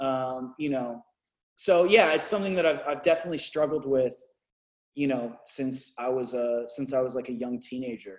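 Using a normal speaking voice, the speaker moves at a moderate speed, pitch varying in an ordinary way. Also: man, medium pitch for a man. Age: 30s. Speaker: musician and rapper. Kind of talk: casual chat.

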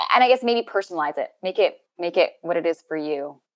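Recorded with a dry, close sound with no echo, a woman with a Canadian accent speaks at a fairly quick pace. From Canada, interior of British Columbia. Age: 30s. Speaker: actress. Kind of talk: personal interview conversation.

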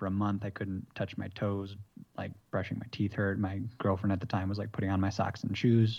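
Against a quiet background, a man with a normal speaking voice talks fairly quickly at a fairly low pitch. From US Midwest, Michigan. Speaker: mobility coach, bodyworker. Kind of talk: casual interview chat.

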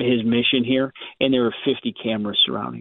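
Talking at a fairly quick pace, a man with an unremarkable speaking voice keeps a medium pitch and ordinary pitch variation. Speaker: congressman. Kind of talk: political interview.

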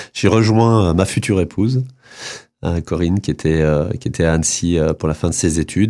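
In a very clean recording with a silent background, a man with a very deep, low pitch and a dark, mellow tone speaks at a moderate pace. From Lorraine, northeastern France (Nancy, then Vosges). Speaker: magazine publisher. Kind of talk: radio interview. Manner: halting, many hesitations.

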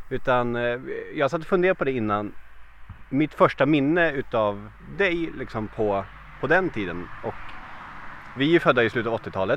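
A medium-pitched male voice with lively intonation, a moderate pace, long and frequent pauses, and noticeable background noise. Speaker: podcast host. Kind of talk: interview.

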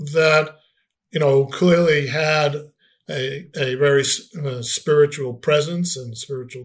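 Somewhat breathy and at a very slow pace, a man with a fairly high voice speaks in an American accent. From Boston, US Northeast. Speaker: rabbi and author. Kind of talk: interview. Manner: halting, repeats words.

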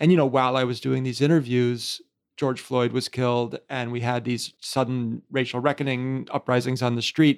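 On a very clean recording with a silent background, a man with an American accent speaks at a medium pitch and moderate pace in a monotone, flat intonation. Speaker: podcast host. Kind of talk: interview conversation.

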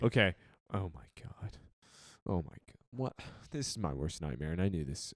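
A man's very deep, low voice with vocal fry at a moderate pace, very wide pitch swings, big swings in loudness and long, frequent pauses. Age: 30s. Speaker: football podcast co-host. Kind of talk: casual chat.

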